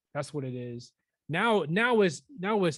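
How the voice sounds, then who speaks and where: A man talks at a moderate pace, the background quiet around him. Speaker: podcast co-host. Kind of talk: casual chat. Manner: animated.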